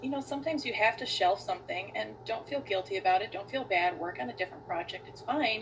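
A woman with an American accent talks at a very fast pace and medium pitch, with hardly any pauses. Her pitch swings very widely and her loudness varies a lot over noticeable background noise. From US Midwest, Wisconsin. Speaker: author. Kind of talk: casual chat.

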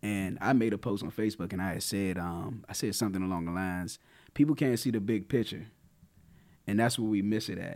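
This man has an unremarkable speaking voice, fairly low in pitch with ordinary pitch variation. He talks at a fairly quick pace. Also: very clean recording, silent background. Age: 30s. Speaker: podcast co-host. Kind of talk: casual chat.

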